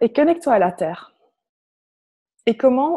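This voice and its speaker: Lively intonation and a dark, mellow tone in a Flemish accent, with dry, close sound and no echo. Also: woman. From Flanders, Belgium. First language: Dutch (Flemish) (speaking French). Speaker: personal development facilitator. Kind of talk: guided meditation. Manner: hesitant, with fillers.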